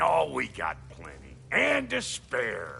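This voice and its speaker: A raspy put-on character voice, very slow, over clear background noise. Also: man. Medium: video game. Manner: blunt, streetwise.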